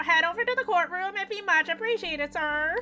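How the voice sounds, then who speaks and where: Over clear background noise, a woman uses a put-on character voice at an extremely high pitch and a fairly quick pace. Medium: game stream. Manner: polite, eager.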